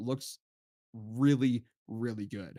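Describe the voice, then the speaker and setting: Animated in tone, a man talks at a medium pitch with ordinary pitch variation in a dry, close sound with no echo. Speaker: livestream host reviewing video edits. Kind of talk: live stream review and feedback. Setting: live stream. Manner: fast.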